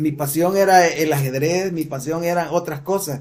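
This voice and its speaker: A man with a high-pitched voice delivers his words at a fairly slow rate. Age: 60s. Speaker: church teacher. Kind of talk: lecture. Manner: halting.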